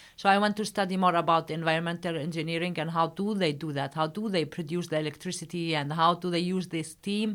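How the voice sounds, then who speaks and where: A woman with an Arabic accent at a very fast pace, fairly low in pitch, with fairly even intonation, hardly any pauses and a very clean recording with a silent background. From Palestine. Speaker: company founder, engineer. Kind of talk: interview. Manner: halting.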